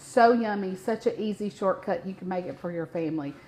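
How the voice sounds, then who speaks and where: A woman with a strong Mississippi accent, lively intonation and a moderate pace, over noticeable background noise. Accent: thick Southern (Mississippi). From US South, north Mississippi near Memphis. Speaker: cooking show host. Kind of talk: live cooking demonstration. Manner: animated, chatty.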